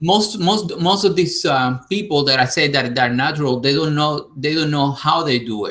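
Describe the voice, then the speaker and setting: Bright and sharp in tone, the speaker talks with a Spanish accent at a moderate pace, with hardly any pauses. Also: man, fairly high pitch for a man, ordinary pitch variation. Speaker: YouTuber. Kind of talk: casual chat. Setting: live stream.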